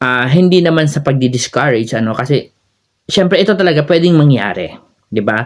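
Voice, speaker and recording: With nothing audible behind him, a man speaks in a lively, up-and-down intonation. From Philippines. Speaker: YouTuber and overseas Filipino worker; YouTuber. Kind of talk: vlog advice talk. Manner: casual with frequent fillers. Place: home room. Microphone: phone near.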